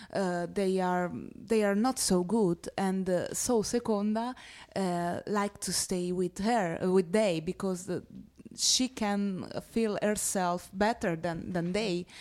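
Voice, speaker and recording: A woman with an Italian accent speaks very slowly in a medium pitch with fairly even intonation, in a very clean recording with a silent background. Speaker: actress. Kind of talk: interview. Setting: film festival. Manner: halting.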